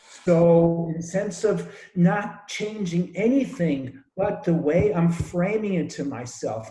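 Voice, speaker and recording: A man's high-pitched voice with audible room echo. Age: 60s. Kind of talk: group discussion. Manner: halting, repeats words.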